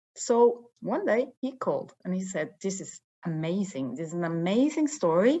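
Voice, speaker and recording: A woman with a Norwegian accent and very wide pitch swings. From northern Norway. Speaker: investigative TV journalist. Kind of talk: interview.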